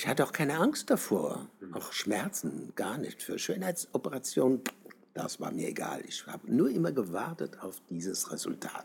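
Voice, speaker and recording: A man talks with very wide pitch swings. He keeps a moderate pace. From southern Germany. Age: 70s. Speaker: travesty artist. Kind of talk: interview. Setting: outdoors on the street.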